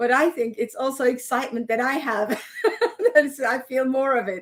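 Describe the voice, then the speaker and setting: A woman is speaking. She has a non-native accent. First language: not English. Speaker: energy healer. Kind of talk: interview. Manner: halting.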